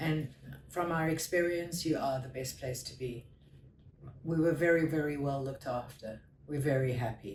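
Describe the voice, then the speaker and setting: A woman's very deep, low voice at a moderate pace, with ordinary pitch variation, long, frequent pauses, noticeable background noise and audible room echo. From South Africa. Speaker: patient giving testimonial. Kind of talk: interview testimonial. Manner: halting.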